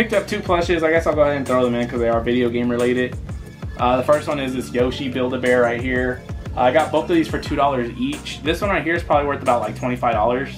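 Over clear music in the background, a man talks at a very fast pace with ordinary pitch variation. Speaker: reseller showing a haul. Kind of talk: casual vlog chat. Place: home room.

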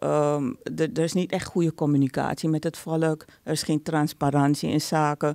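Against a quiet background, a woman with a very deep, low pitch and a dark, mellow tone speaks with fairly even intonation, very even loudness and hardly any pauses. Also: moderate pace, dry sound with no echo. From Suriname. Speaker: conflict resolution expert; podcast guest. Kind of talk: interview; interview answer. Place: studio. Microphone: studio mic.

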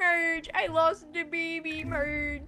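A woman puts on a character voice with an extremely high pitch, over clear background noise. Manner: dopey, goofy.

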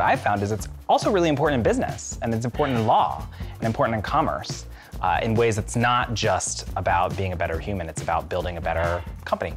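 A man with a very deep, low pitch at a fairly quick pace, with clear music in the background. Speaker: company lawyer. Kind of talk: interview answer. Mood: reflective, warm. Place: garden. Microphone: lapel.

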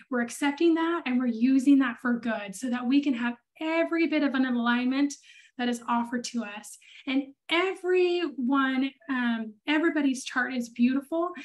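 A woman's high voice at a moderate pace, with ordinary pitch variation and a quiet background. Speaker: human design reader. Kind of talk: consultation talk on a call. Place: home room. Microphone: video call.

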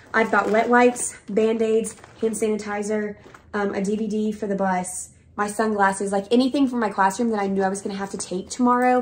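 Fairly high in pitch, a woman speaks at a fairly quick pace with monotone, flat intonation. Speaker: elementary school teacher. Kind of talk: casual vlog talk to camera. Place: home room. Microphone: camera far.

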